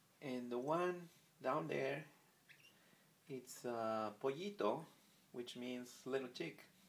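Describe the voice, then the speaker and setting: Here a man with a Spanish accent talks at a very slow pace and a medium pitch, with ordinary pitch variation. He leaves long, frequent pauses. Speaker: pet bird keeper. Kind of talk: casual video narration. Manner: halting, many fillers.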